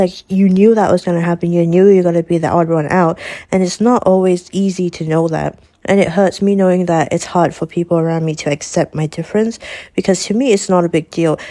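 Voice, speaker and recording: With a Malaysian accent, a woman speaks at a fairly quick pace and a fairly low pitch, her tone dark and mellow and her intonation fairly even. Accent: Malaysian English (Manglish). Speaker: student. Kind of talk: interview.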